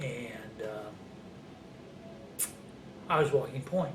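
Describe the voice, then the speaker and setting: With a Midwestern American accent, a man talks at a moderate pace and medium pitch. Noticeable background noise is present. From Ohio. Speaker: Vietnam War veteran. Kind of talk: interview answer.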